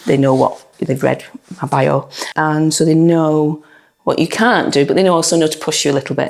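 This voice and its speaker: A woman with a very deep, low pitch speaks at a fairly quick pace, with fairly even intonation and very even loudness. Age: 60s. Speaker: dog trainer, gym client giving a testimonial. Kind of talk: testimonial interview. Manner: hesitant, with frequent fillers and repetitions.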